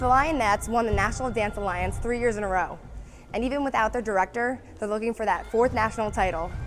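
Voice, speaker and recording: Over music in the background, a woman talks very fast with ordinary pitch variation. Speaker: sports broadcaster, sideline reporter. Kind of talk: TV sports news reporting and interviewing. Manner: clear, polished, broadcast delivery.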